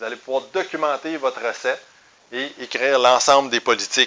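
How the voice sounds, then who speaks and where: Speaking at a moderate pace with fairly even intonation, a man with a Quebec accent has a fairly high pitch. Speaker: business trainer. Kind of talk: sales pitch. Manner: hesitant fillers.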